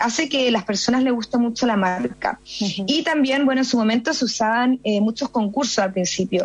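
Over music in the background, a woman with a high pitch speaks at a moderate pace with ordinary pitch variation. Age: 20s. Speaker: entrepreneur, fashion brand founder. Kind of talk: radio interview.

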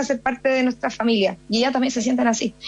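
A woman speaks at a very fast pace in a high pitch, with noticeable background noise. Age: 20s. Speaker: entrepreneur, fashion brand founder. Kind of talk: radio interview.

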